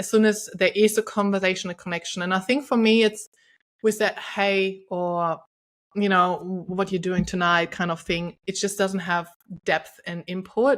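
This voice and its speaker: With a German accent, the speaker goes at a moderate pace in a very clean recording with a silent background. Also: woman. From Germany. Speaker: podcast host, intimacy coach. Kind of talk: interview conversation. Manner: energetic.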